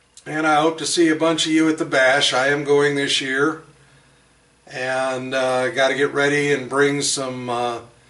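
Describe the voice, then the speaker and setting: A man speaking at a fairly slow pace in a monotone, flat intonation, with noticeable background noise. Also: fairly high pitch for a man. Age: 60s. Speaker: hobbyist machinist. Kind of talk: casual demonstration video. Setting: home workshop. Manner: halting, many fillers.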